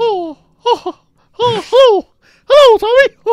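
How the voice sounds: A cartoonish character voice rings out at an extremely high pitch.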